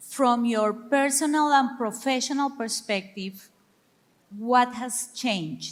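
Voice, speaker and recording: A woman's high-pitched, very slow voice with ordinary pitch variation and a Spanish accent. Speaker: panel moderator. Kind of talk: moderated panel discussion.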